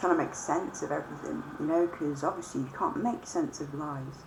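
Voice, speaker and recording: A woman with a very deep, low pitch, alongside noticeable background noise and audible room echo. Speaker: vlogger. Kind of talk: casual monologue. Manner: hesitant, many fillers.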